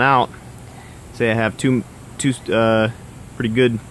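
A man's monotone, flat intonation comes through a dry sound with no echo and light background noise. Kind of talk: casual tour narration. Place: garden. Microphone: phone near.

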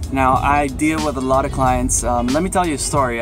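Clear music plays in the background as the speaker proceeds at a moderate pace. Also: man. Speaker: personal trainer. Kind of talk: casual vlog chat. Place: car. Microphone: phone near.

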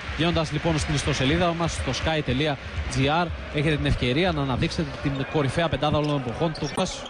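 Noticeable background noise runs under a man with a fairly high pitch and an animated tone. His pitch variation is ordinary and his loudness very even. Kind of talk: live sports commentary. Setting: TV broadcast commentary. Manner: fast, animated play-by-play calling each basket and score.

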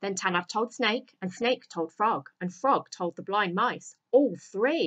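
The speaker is reading aloud in a natural voice, with lively intonation. The background is quiet.

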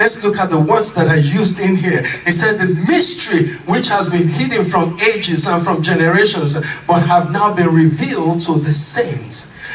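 Someone is shouting at a moderate pace. Light background noise can be heard. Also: man. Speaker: pastor. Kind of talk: sermon. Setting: church. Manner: impassioned, rhythmic repetition of refrains building to exclamations; call-and-response, urging congregation to shout amen. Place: church.

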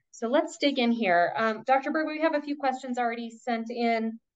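A woman talks fairly quickly in a high voice. The background is quiet. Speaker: nonprofit development director; event host, moderator. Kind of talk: webinar moderation. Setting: video call. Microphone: video call.

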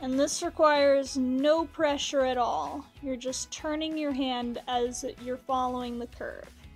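Faint music plays in the background as a woman with a high-pitched voice talks very slowly, her intonation fairly even. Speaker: pottery teacher. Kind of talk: tutorial. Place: workshop.

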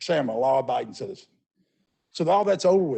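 Speaking with a Memphis accent, a man uses ordinary pitch variation. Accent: Southern US (Memphis). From US South. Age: 60s. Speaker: business owner, public commenter. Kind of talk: public comment at council meeting. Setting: council meeting. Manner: halting, repeating words.

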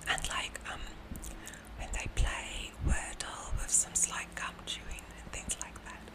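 Whispering at a very slow pace, a woman's voice rises and falls widely in loudness. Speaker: ASMR content creator. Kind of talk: ASMR whisper ramble. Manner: whispered, soft-spoken. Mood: friendly, slightly nervous. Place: home room. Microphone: studio mic.

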